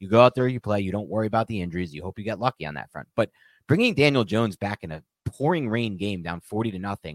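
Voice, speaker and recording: Here a man talks at a very fast pace, his pitch fairly low with ordinary variation. The sound is dry and close, with no echo. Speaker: podcast host, football commentator. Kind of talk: angry rant, heated sports talk. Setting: live stream. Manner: yelling, exasperated, emphatic; repetitive, forceful, outraged.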